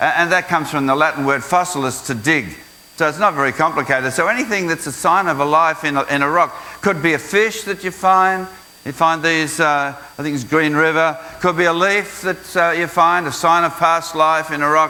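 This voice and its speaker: A man talks fairly quickly in an Australian accent at a fairly high pitch. His pitch varies in an ordinary way, and background noise is noticeable. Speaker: creation science speaker. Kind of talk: school presentation. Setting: school assembly with audience.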